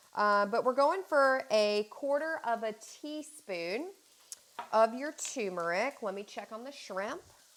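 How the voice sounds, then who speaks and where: A woman's fairly high voice with a slight Southern US accent, lively intonation, big swings in loudness and a fairly slow pace. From North Carolina. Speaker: fitness and cooking vlogger. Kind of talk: cooking tutorial. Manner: casual, chatty.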